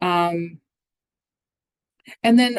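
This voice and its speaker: With ordinary pitch variation, a woman talks in a fairly low voice. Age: middle-aged. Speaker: recruiter. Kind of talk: presentation. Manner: halting, many fillers.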